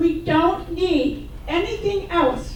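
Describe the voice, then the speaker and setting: Her pitch is extremely high, with ordinary variation. Noticeable background noise and audible room echo fill the recording of this woman. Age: 80s+. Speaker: public commenter. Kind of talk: public comment at meeting.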